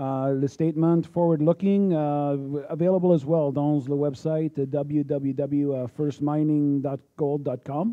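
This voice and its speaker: A man is talking here. For a man, his pitch is fairly high. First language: English (speaking French). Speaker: mining exploration executive. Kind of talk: conference presentation. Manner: halting, many fillers.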